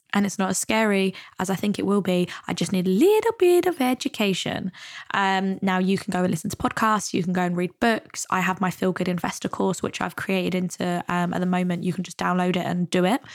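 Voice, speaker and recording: At a fairly quick pace, a woman speaks at medium pitch with a British accent. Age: 20s. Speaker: money and mindset coach, podcast host. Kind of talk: solo podcast monologue. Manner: casual, upbeat.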